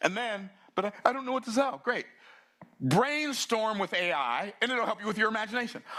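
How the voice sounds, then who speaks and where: At a fairly quick pace, a man speaks in a raised, projected voice with a high pitch and an animated tone. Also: lively intonation. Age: 60s. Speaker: business speaker. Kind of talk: keynote talk.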